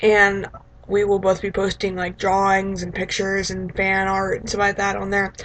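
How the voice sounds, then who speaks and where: This woman speaks at a medium pitch and a moderate pace. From Texas. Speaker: vlogger. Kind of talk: casual vlog. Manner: rambling, halting with many fillers.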